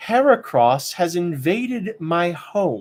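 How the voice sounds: A man's put-on character voice, high-pitched and slightly mellow, with big pitch swings at a slow pace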